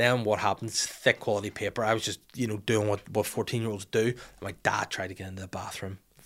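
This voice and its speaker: A man's fairly low voice in a Northern Irish accent at a very fast pace, on a very clean recording with a silent background. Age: 30s. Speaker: podcast host. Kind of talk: casual chat. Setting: studio. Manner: animated.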